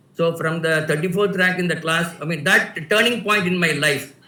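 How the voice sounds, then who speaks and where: A man's high-pitched voice at a fairly quick pace, fairly even intonation, audible room echo and noticeable background noise. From India, Tamil Nadu. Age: 60s. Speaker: writer. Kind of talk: personal storytelling. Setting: video call. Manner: halting, many fillers.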